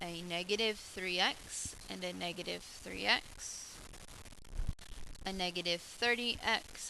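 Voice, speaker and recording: A woman with an unremarkable speaking voice, fairly low in pitch, with fairly even intonation at a fairly slow pace. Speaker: math teacher. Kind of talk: tutorial.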